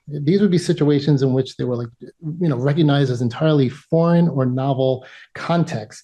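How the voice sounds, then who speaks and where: A man with a New York accent talks at a fairly quick pace in a fairly high pitch, with ordinary pitch variation. His somewhat breathy voice has a dark, mellow tone over a quiet background. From US Northeast (New York). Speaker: emergency physician and PhD candidate presenting research. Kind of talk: academic presentation.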